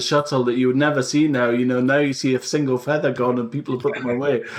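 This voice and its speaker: A man talks very fast, with noticeable background noise underneath. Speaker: podcast host. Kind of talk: interview questions.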